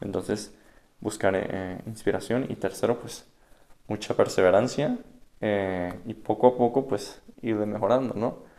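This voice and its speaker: A man's fairly low, dark, mellow voice, with fairly even intonation and big swings in loudness. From Venezuela (Caracas). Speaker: religious candidate, digital evangelization worker. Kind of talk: casual interview.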